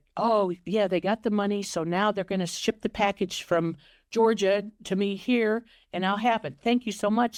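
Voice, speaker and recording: With an American accent, a woman uses a plain, everyday voice at medium pitch and a moderate pace, recorded with a dry, close sound with no echo on a very clean recording with a silent background. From Ohio, USA. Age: 60s. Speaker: romance scam victim. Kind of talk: interview answer.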